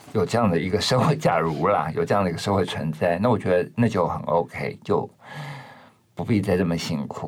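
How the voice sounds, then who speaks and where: Over noticeable background noise, a man speaks fairly quickly in a very deep, low pitch with ordinary pitch variation. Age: 50s. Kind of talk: interview conversation.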